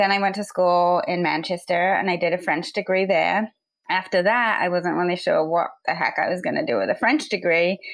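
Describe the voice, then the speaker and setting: A woman with an American accent speaks at a moderate pace and medium pitch, with ordinary pitch variation. Her loudness stays very even. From England, rural village. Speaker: finance executive. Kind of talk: interview.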